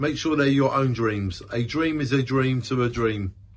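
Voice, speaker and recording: The voice is somewhat breathy. Its pitch variation is ordinary. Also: man. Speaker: amateur poet. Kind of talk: spoken-word poetry reading. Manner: earnest, rhythmic, with repeated refrains. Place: home room. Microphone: phone near.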